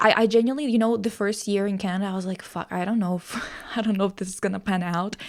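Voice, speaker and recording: A woman with a Russian accent talks at a very fast pace and a medium pitch. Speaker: podcast host. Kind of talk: casual chat. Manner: animated.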